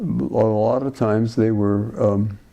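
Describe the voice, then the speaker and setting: This man has an American accent. His tone is dark and mellow. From Martinez, California. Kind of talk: interview answer.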